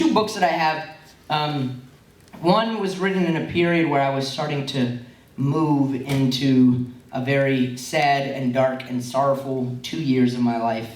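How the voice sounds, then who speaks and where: Noticeable background noise behind a man's fairly high voice with ordinary pitch variation. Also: fairly slow pace. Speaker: slam poet. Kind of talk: poem introduction to a live audience.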